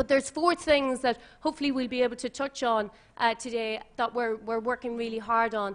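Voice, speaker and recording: Against a quiet background, a woman with an Irish accent speaks at a fairly quick pace. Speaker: social media company representative, former journalist. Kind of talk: panel discussion talk.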